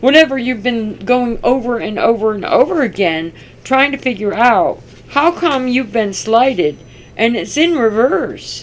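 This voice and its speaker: A normal speaking voice from a woman, fairly high in pitch, with lively intonation at a fairly slow pace. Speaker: tarot reader. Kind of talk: tarot reading.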